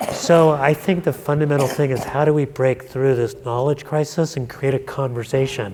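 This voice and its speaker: Fairly even intonation with hardly any pauses over noticeable background noise. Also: man, fairly high pitch for a man, moderate pace. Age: 60s. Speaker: panelist. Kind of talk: panel discussion.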